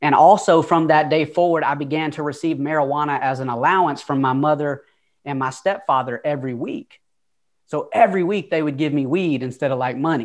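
A man talks in a Southern US accent at a fairly quick pace. His pitch is fairly high, his intonation fairly even, and the background is quiet. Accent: Southern US, noticeable twang. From Atlanta, Georgia. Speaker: motivational speaker. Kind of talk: casual interview, storytelling.

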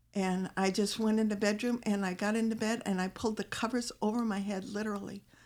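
On a very clean recording with a silent background, a woman with an American accent speaks very fast in a fairly high, monotone, flat voice. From US Midwest, Illinois. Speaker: missionary wife. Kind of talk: casual chat. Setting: studio.

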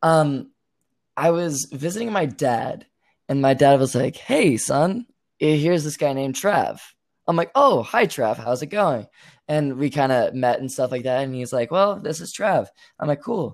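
Heard in a very clean recording with a silent background, a man speaks at a fairly slow pace with a fairly high pitch and lively intonation. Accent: Canadian. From Canada. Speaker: aspiring theater student. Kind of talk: interview about personal story. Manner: halting.

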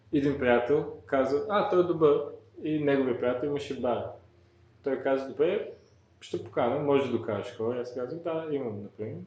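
Audible room echo carries a man's fairly high voice at a moderate pace, with ordinary pitch variation. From born in Bulgaria, raised in New York from age 9. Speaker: electronic music producer and DJ. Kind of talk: interview. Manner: halting.

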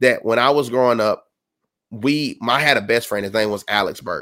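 Recorded very cleanly over a silent background, a man with an unremarkable speaking voice talks at a fairly quick pace and medium pitch with ordinary pitch variation. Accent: American. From South Carolina. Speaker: sports podcast co-host. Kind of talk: casual chat.

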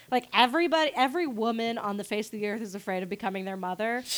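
There is noticeable background noise behind a woman with a medium pitch. Her tone is animated, with ordinary pitch variation. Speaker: podcast host. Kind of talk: casual chat.

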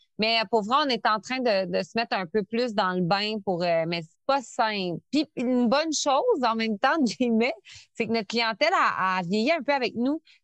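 A woman with a fairly high pitch uses lively intonation at a moderate pace. The sound is dry and close with no echo, over a quiet background. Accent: Quebec. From Quebec City. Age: 30s. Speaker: entrepreneur. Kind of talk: interview. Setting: remote call.

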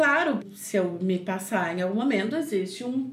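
A woman is speaking with audible room echo. Noticeable background noise is present. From southern Brazil, Porto Alegre area. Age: 30s. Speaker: cook and recipe youtuber. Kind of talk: casual chat.

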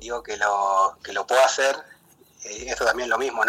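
A man talking at a moderate pace, with noticeable background noise. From Buenos Aires suburbs, Quilmes. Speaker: poet and baker. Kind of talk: interview. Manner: halting, many fillers.

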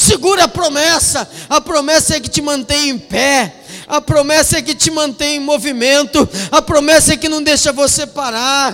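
A man talks in a raised, projected voice at an extremely high pitch with ordinary pitch variation. Noticeable background noise runs behind him. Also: moderate pace. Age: 40s. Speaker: pastor. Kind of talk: sermon. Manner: animated.

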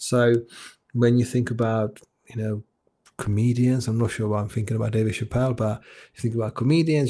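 Somewhat breathy and dark, mellow in tone, a man's medium-pitched voice stays in a monotone, flat intonation. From Czech Republic. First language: Czech. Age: 40s. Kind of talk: interview conversation. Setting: video call. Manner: repetitive false starts.

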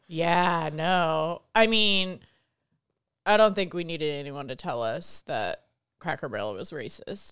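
On a very clean recording with a silent background, a woman mumbles with vocal fry. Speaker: podcast co-host. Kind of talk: casual banter, comedic chat. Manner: interrupts, mumbles.

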